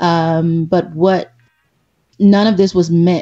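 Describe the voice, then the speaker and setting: A woman speaks in a fairly low, somewhat breathy voice. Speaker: podcast co-host. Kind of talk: live podcast chat.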